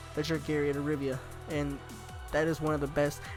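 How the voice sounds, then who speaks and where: With music behind him, a man talks at a fairly high pitch. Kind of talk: casual talk to camera.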